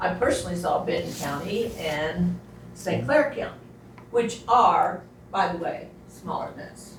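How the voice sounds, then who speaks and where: A woman speaks at a fairly slow pace with big swings in loudness, in a room with audible echo and noticeable background noise. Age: 80s+. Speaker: resident speaking at public meeting. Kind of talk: public comment at county meeting.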